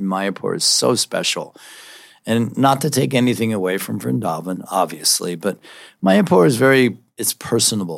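This man has a fairly low pitch with vocal fry and an American accent. His pitch swings very widely as he talks at a moderate pace. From US Northeast, Philadelphia. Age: 70s. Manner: animated, loud.

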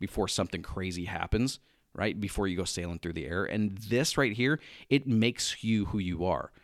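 In a very clean recording with a silent background, a man with a plain, everyday voice talks at a moderate pace, his fairly low pitch showing ordinary variation. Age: 30s. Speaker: online business coach. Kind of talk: interview.

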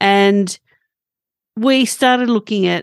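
A woman speaks very slowly with an Australian accent, her pitch medium with ordinary variation. The sound is dry and close, with no echo. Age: 50s. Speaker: holistic health practitioner. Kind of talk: interview. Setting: remote call.

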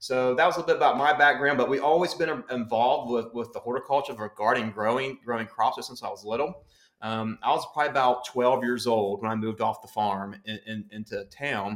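A man with an American accent talks at a fairly quick pace with hardly any pauses. His is a plain, everyday voice at a medium pitch with ordinary pitch variation. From West Virginia. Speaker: county extension agent. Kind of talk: educational interview. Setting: studio, sharing a mic with host.

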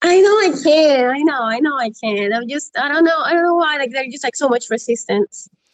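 Lively intonation at a fairly quick pace, with hardly any pauses. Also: woman, high pitch for a woman. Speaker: PhD student. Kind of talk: casual chat. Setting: Instagram live video. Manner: halting.

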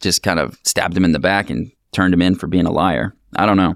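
In a dry, close sound with no echo, a man with a very deep, low pitch talks at a fairly quick pace. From Pacific Northwest, Ocean Park. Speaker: podcast host. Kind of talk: casual chat.

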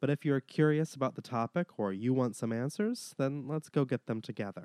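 A man's dark, mellow tone with lively intonation, a dry, close sound without echo, and a very clean recording over a silent background. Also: medium pitch for a man, fairly quick pace. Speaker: podcast host. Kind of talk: solo podcast monologue.

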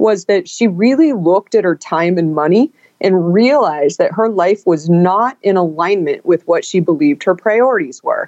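In an American accent, a woman with a plain, everyday voice speaks at a medium pitch with lively intonation. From Northern California. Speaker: author and business executive. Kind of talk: interview.

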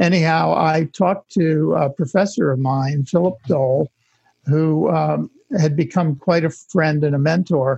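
The voice has a dark, mellow tone and very even loudness, moving at a fairly slow pace with ordinary pitch variation in a dry, close sound with no echo. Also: man, fairly high pitch for a man. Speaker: architect and author. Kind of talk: casual interview.

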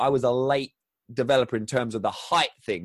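Recorded with a dry, close sound, no echo and a quiet background, a man speaks at medium pitch and a moderate pace in a southern English accent. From southern England, Crawley. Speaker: former athlete, author and speaker. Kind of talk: interview conversation.

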